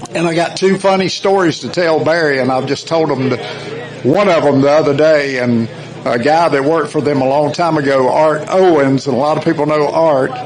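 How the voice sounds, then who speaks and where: A man's fairly high voice with a South Carolina accent, fairly quick pace and fairly even intonation, amid noticeable background noise and audible room echo. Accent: Southern US (South Carolina). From US South. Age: 60s. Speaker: former racing team member. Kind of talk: tribute speech.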